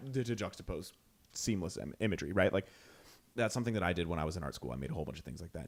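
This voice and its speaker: In a put-on character voice, a man speaks very fast, very deep and low, raspy and excited in tone. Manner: excited, fast talking.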